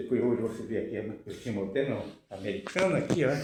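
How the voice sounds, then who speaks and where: Audible room echo surrounds a man's somewhat breathy voice. He speaks at a fairly quick pace. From Brazil, rural Bahia. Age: 80s+. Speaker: forró musician and former farmworker. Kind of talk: personal storytelling with home tour. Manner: halting.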